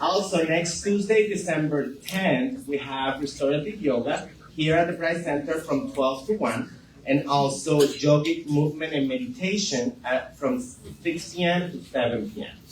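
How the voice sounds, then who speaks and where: A man with a Venezuelan accent, fairly high-pitched and lively in intonation, amid noticeable background noise and audible room echo. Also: moderate pace. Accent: non-native, Venezuelan-tinged. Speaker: community center staff, event presenter. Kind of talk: community announcements. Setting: live group gathering in a room. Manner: hesitant, many fillers.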